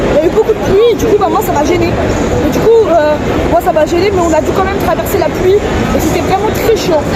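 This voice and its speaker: Amid crowd noise and audible room echo, a woman speaks fairly quickly in an extremely high pitch with ordinary pitch variation. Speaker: vlogger. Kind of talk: casual vlog. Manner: loud.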